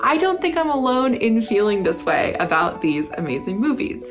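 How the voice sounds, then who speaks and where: Someone speaks at a moderate pace while clear music plays in the background. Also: woman. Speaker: film vlogger. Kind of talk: casual vlog chat. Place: home room.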